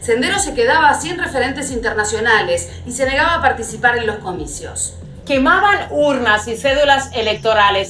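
Over music in the background, a woman with a high-pitched voice speaks at a moderate pace amid audible room echo. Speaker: presenter. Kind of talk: explanatory history commentary. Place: home room.

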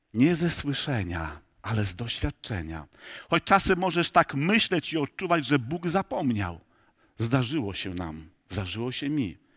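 A man speaks at a fairly slow pace with vocal fry and very wide pitch swings. The background is quiet. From rural Poland. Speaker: pastor. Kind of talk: sermon. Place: church.

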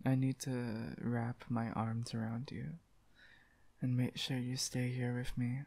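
The speaker is soft-spoken. The pace is very slow. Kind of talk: ASMR roleplay, soft affectionate talk. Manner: soft, close ASMR murmur, affectionate.

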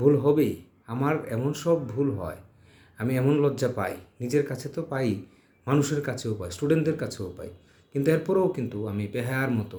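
Somewhat breathy, a man speaks at medium pitch with a dark, mellow tone and lively intonation, with audible room echo. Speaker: journalism professor. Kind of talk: lecture. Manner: halting.

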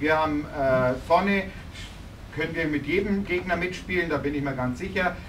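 This man has an ordinary speaking voice, fairly high in pitch, with ordinary pitch variation. He talks at a moderate pace, and there is light background noise. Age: 50s. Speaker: visiting ice hockey coach. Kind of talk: post-game press conference. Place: meeting room. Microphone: camera far.

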